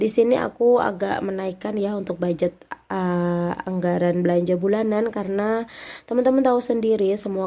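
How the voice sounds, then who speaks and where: Her voice, a woman's, sits at a medium pitch with a dark, mellow tone, fairly even intonation and a moderate pace. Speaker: homemaker vlogger. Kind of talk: tutorial. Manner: casual, chatty.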